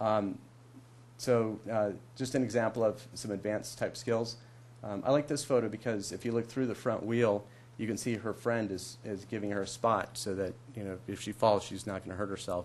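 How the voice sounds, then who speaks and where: With vocal fry, a man speaks at a fairly low pitch using fairly even intonation. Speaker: presenter at city council meeting. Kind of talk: slide presentation to council. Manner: fast; hesitant, many fillers.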